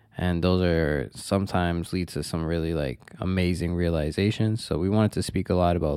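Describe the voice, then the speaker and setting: A man speaks with a Toronto accent. His voice is very deep and low, with a dark, mellow tone. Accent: Canadian (Toronto). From Toronto, Canada (Scarborough). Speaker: podcast co-host, carpenter. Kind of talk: casual chat.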